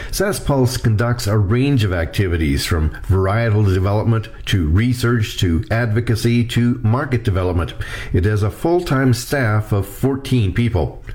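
A man talks at medium pitch with lively intonation. His loudness stays very even despite noticeable background noise. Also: moderate pace, hardly any pauses. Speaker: agricultural journalist. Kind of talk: scripted news report.

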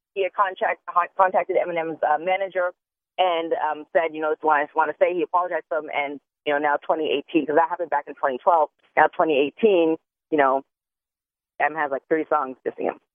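Very deep and low in pitch, a woman talks at a fairly quick pace with fairly even intonation. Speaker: entertainment news contributor. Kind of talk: casual chat. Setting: phone call.

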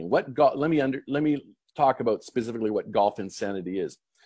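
Against a quiet background, a man with a plain, everyday voice and medium pitch speaks with lively intonation. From Canada. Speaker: professional golfer. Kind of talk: interview.

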